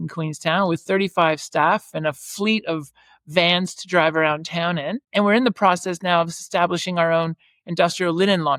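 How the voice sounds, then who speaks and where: A woman with a Canadian accent and an unremarkable speaking voice, fairly low in pitch, at a moderate pace with ordinary pitch variation, in a very clean recording with a silent background. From Canada. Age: 50s. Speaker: property management entrepreneur. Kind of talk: podcast interview.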